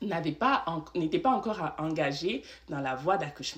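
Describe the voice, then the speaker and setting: With lively intonation and a very deep, low pitch, this woman talks at a fairly slow pace. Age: 20s. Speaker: vlogger sharing birth story. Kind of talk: storytime monologue. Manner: conversational, filler-heavy.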